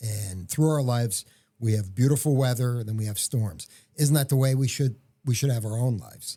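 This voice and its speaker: A man's somewhat breathy voice with a dark, mellow tone, medium pitch, ordinary pitch variation and moderate pace, on a very clean recording with a silent background. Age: 60s. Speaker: entrepreneur and podcast co-host. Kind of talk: casual chat. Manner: halting, with many fillers and restarts.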